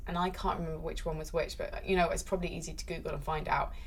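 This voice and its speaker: A woman's voice with noticeable background noise and audible room echo. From UK, born in London. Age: 30s. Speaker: esports presenter. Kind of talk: casual chat. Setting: in-person recording in London.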